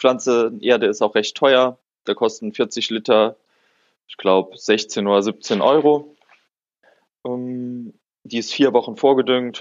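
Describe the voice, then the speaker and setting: A man at medium pitch with ordinary pitch variation, a very slow pace, long, frequent pauses and big swings in loudness. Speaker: podcast co-host, hobby botanist. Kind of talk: casual chat.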